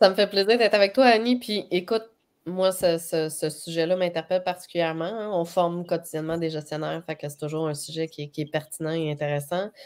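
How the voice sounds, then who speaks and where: A woman with a Quebec accent talks at a fairly quick pace in a fairly low pitch. Her pitch varies in an ordinary way, while her loudness swings widely. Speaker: HR trainer and coach. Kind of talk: live webcast discussion.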